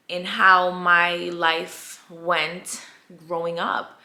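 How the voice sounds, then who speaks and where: Audible room echo surrounds a woman speaking in an animated tone at a medium pitch. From US, immigrant from Colombia at age five. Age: 20s. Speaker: vlogger. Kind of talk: storytime vlog. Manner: casual, animated.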